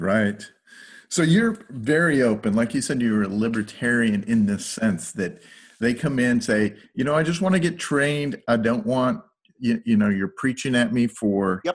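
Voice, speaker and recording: An ordinary speaking voice from a man, medium in pitch, with lively intonation, very even loudness and a moderate pace. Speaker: podcast host. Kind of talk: casual chat.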